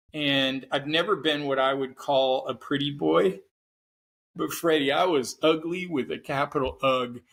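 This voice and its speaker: On a very clean recording with a silent background, a man with an American accent uses a plain, everyday voice, fairly high in pitch, at a fairly slow pace with fairly even intonation. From Oregon, US Pacific Northwest. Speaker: psychotherapist and cancer survivor. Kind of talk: podcast interview, personal story.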